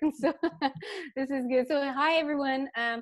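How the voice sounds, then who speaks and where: A woman speaks with a French accent at a moderate pace. Her intonation stays fairly even. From eastern Canada, French-speaking. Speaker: laughter workshop facilitator. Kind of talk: interview talk. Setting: video call.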